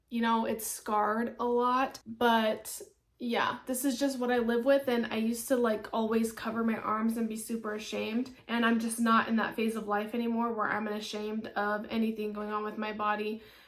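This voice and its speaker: Over noticeable background noise, a woman with a fairly high pitch and monotone, flat intonation talks at a moderate pace with hardly any pauses. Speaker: beauty and home fragrance vlogger. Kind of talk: casual product review vlog. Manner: conversational, chatty.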